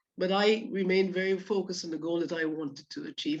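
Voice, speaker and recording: A woman speaks with a slight Caribbean accent at a fairly quick pace. Her pitch is fairly low, with ordinary variation. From Guyana. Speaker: orthopaedic surgeon. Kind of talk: talk. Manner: hesitant fillers.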